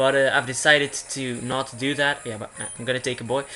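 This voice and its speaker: Moderate pace over music in the background. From Belgium. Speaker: gaming YouTuber. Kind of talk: let's play commentary. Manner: halting, many fillers and restarts.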